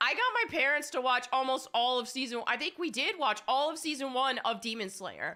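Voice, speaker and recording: Raising and projecting her voice, a woman talks fairly quickly in an animated tone at a high pitch with ordinary pitch variation, hardly any pauses and noticeable background noise. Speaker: gaming streamer. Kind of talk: casual chat.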